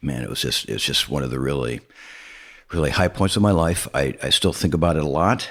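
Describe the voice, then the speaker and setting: A man's very deep, low voice with vocal fry, lively intonation and a fairly quick pace. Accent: American. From Arizona, US West. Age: 70s. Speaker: educator on death and dying. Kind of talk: interview. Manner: halting.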